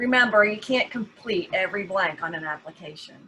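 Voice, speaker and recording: Speaking with a Southern US accent, a woman keeps an average pace. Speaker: genealogy society officer. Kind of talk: workshop presentation.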